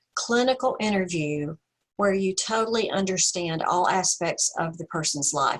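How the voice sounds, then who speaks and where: A woman's voice with ordinary pitch variation and a slight Southern US accent. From US South. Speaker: counseling professor. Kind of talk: webinar presentation and discussion. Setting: video call.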